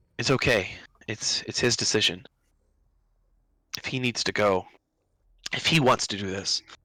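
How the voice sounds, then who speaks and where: A man puts on a raspy character voice at a medium pitch. He talks at a moderate pace with long, frequent pauses. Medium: actual play.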